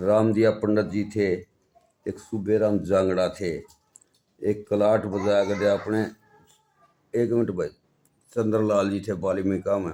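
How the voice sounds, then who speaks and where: A man with a Haryana accent speaks with long, frequent pauses. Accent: Haryanvi. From Haryana, Jind district. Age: 60s. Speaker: folk musician, banjo player. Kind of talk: interview.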